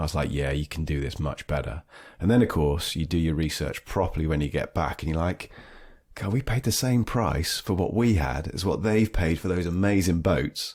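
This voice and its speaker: A man's very deep, low pitch with vocal fry, on a very clean recording with a silent background. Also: lively intonation, moderate pace. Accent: British. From southwest England (Dorset, Devon). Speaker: surf trip organiser. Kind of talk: podcast interview. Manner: animated.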